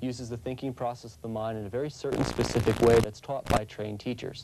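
Over loud background noise, a man talks very fast with fairly even intonation. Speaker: family physician. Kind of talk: interview answer. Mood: calm, assured, promotional. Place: office. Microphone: lapel.

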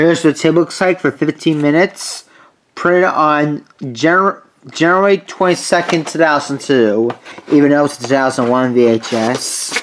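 Light background noise sits under speech delivered at a moderate pace. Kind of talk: casual collection show-and-tell. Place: home room.

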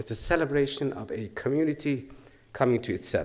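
A man speaks at a moderate pace. Behind him, the background stays quiet. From Iran, Mashhad; Iran. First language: Persian. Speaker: professor of comparative literature. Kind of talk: lecture. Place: hall. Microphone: podium.

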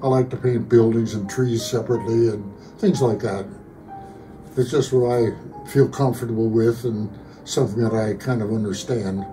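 Clear music plays behind a man talking at a moderate pace. His intonation stays fairly even. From Pennsylvania, USA. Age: 80s+. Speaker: amateur painter; military veteran. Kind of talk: interview answer. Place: home room.

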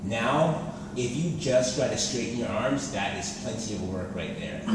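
A man talks at a fairly slow pace amid noticeable background noise and strong room echo. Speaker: personal trainer. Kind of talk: coaching instructions. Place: gym. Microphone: camera far.

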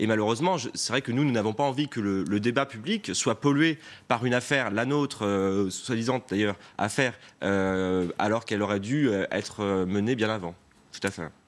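At a moderate pace and fairly low pitch, a man speaks with ordinary pitch variation. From France, Pays de la Loire. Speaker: regional politician. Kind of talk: TV news interview. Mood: defensive, argumentative political talk. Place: studio. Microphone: lapel.

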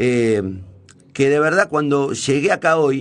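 Very slowly, a man delivers his words. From Argentina, Santa Fe. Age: 50s. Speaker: radio host and journalist; radio host, journalist. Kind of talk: on-air monologue. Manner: hesitant, many fillers and restarts. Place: studio. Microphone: studio mic.

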